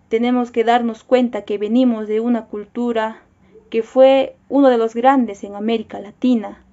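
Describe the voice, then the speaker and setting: A woman with a fairly high pitch talks at a fairly slow pace in a monotone, flat intonation. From Peru, Cusco; Peru. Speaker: university student. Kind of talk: personal video statement. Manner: formal. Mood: serious, concerned. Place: home room. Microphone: phone near.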